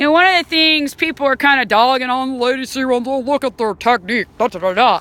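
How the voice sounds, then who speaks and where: Speaking in a Southern US accent, a woman sounds animated, her high voice carrying lively intonation. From Alabama, Huntsville. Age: 40s. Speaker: whitewater canoe athlete. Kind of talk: casual talk to camera. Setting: outdoors by a river.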